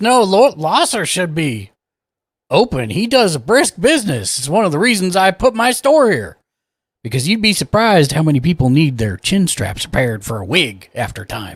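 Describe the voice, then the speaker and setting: A man's put-on character voice, high-pitched with very wide pitch swings, at a moderate pace on a very clean recording with a silent background. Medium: actual play. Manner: doddering, rambling, hesitant.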